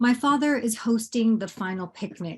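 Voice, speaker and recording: This woman's voice is somewhat breathy. She talks at a fairly slow pace. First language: Bangla. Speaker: poet. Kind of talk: poetry reading. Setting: video call. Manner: halting.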